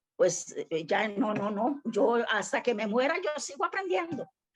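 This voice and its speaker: A woman speaks at a fairly slow pace in a normal speaking voice, her pitch fairly high. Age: 60s. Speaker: church member, student. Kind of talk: class participation comment.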